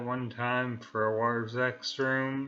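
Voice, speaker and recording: A man speaks at a very slow pace and medium pitch. His intonation is fairly even, with audible room echo. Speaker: amateur radio operator. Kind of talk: casual talk to camera. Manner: halting with many fillers.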